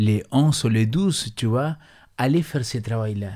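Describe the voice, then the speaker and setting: Over a quiet background, a man with an Argentine accent talks at a very slow pace in a dark, mellow tone with lively intonation. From Argentina. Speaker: pastor. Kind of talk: bible study discussion. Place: studio. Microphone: studio mic.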